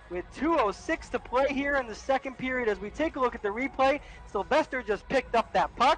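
A woman with a high pitch talks at a fairly quick pace amid noticeable background noise. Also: lively intonation. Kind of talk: live sports commentary. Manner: excited goal calls with rising energy.

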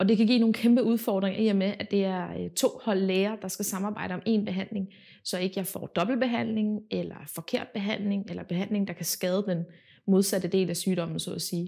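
The voice has a dark, mellow tone and fairly even intonation, at a moderate pace over a quiet background. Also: woman. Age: 20s. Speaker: patient. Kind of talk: testimony. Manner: halting, many filler words. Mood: calm, earnest. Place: home room.

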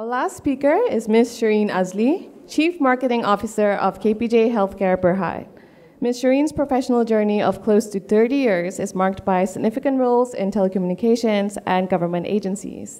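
An unremarkable speaking voice from a woman, fairly high in pitch, with ordinary pitch variation and a moderate pace. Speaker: event moderator. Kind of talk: formal introduction. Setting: stage with audience. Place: hall.

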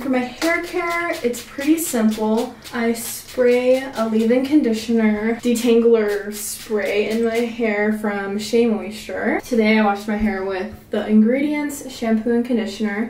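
A woman's fairly high voice with a slightly mellow tone, a fairly slow pace, ordinary pitch variation and audible room echo.

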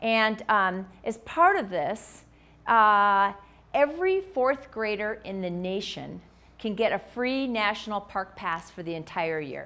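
At a very slow pace, a woman speaks with a fairly high pitch, a bright, sharp tone and lively intonation. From Minnesota, US Midwest. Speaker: physician; presenter. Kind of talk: lecture. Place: hall.

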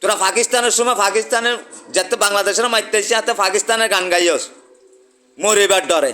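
A man speaks in a raised, projected voice with a high pitch. His tone is animated. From Bangladesh, Chittagong. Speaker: YouTuber giving political commentary. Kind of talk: political rant monologue.

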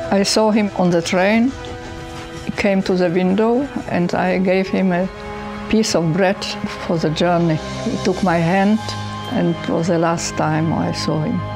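A woman with a fairly low pitch and ordinary pitch variation talks at a fairly slow pace with long, frequent pauses and very even loudness, clear music playing in the background. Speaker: witness. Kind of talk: interview answer. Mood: quiet, sorrowful remembrance. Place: home room.

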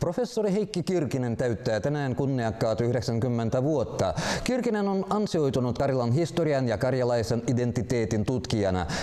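A man at medium pitch, with very wide pitch swings, very even loudness, a moderate pace, hardly any pauses and noticeable background noise. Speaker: news presenter. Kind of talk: news reading. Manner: formal.

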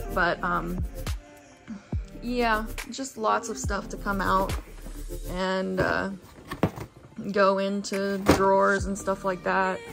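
A woman at a very slow pace, with long, frequent pauses and clear music in the background. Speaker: vlogger. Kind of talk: casual vlog chat. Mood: cheerful, a bit worried. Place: home room. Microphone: phone near.

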